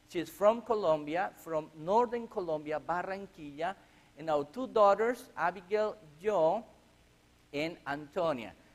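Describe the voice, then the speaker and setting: At a fairly slow pace, a man speaks with a high pitch and lively intonation. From Chile. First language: Spanish. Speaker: missionary. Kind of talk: church mission presentation. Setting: church. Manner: halting.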